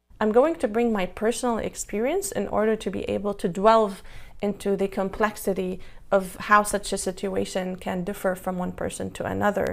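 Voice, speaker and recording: The voice carries vocal fry, moving at a moderate pace with fairly even intonation. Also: woman, medium pitch for a woman. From Lebanon. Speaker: psychotherapist, panel speaker. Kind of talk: prepared symposium talk. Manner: formal.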